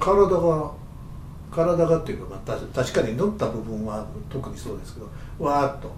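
With big swings in loudness, a man at fairly high pitch speaks with lively intonation amid audible room echo and noticeable background noise. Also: moderate pace. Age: 70s. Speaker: aromatherapist and podcast co-host. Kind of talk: casual chat. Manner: halting, many fillers.

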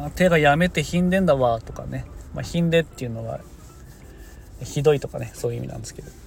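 A man talks at a fairly quick pace, his loudness swinging widely over noticeable background noise. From Niigata, Japan. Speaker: farmer and podcaster. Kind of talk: casual solo podcast talk. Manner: casual, rambling.

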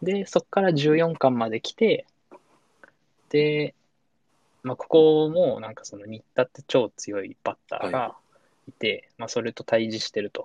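Pausing long and often at a fairly slow pace, a man with a fairly high pitch uses lively intonation and big swings in loudness, in a dry, close sound with no echo. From Saitama, Japan. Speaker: engineer and manga fan guest. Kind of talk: casual chat.

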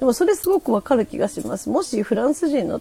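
A woman's pitch swings very widely as she speaks. Noticeable background noise is present. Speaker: podcast host. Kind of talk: casual livestream talk. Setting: livestream from home. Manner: chatty with many fillers.

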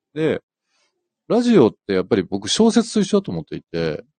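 The sound is dry and close, with no echo. Speech proceeds at a moderate pace. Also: man. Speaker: fashion company executive. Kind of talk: casual radio chat. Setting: in-house broadcast booth, live stream.

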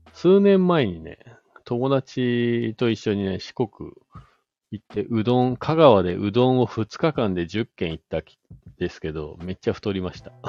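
A man at medium pitch with very wide pitch swings, big swings in loudness, and a fairly slow pace. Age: 40s. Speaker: podcast host. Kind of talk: casual chat. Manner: casual, filler-heavy.

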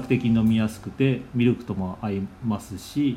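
Over music in the background, a man with a medium pitch speaks at a fairly slow pace with fairly even intonation. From Nagasaki, Japan. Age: 40s. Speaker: cafe owner and podcaster. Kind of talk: casual monologue. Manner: halting, many fillers.

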